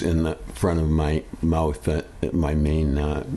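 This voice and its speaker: A man talks in a very deep, low voice. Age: 70s. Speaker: customer sharing a product experience. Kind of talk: testimony. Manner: halting, many fillers.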